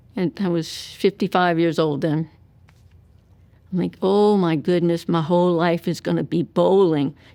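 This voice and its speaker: On a very clean recording with a silent background, a woman speaks fairly low and fairly slowly with fairly even intonation. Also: long, frequent pauses. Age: 60s. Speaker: 9/11 survivor. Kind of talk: testimony.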